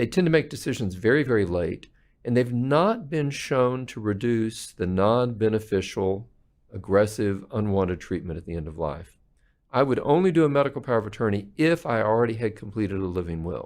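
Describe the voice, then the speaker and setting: A man with a normal speaking voice at a medium pitch, talking at a fairly quick pace against a quiet background. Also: lively intonation. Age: 60s. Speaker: palliative care physician. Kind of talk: interview.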